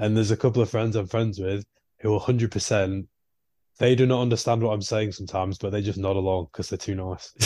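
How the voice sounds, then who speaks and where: Against a quiet background, a man with a northern English accent talks very fast in a fairly low, dark, mellow voice. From northern England. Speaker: podcast co-host. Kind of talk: casual chat. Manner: animated.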